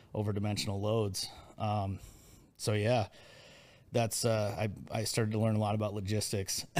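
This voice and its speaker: With a Midwestern American accent, a man talks at a moderate pace in a fairly low pitch. His delivery is monotone and flat, with very even loudness and long, frequent pauses. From US Midwest, Iowa. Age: 40s. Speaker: entrepreneur. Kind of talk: casual chat.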